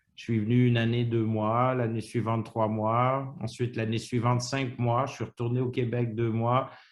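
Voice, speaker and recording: Monotone, flat intonation with hardly any pauses, over a quiet background. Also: man, medium pitch for a man, moderate pace. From Quebec, Montreal. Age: 60s. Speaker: retiree interviewee. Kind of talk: interview. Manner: halting.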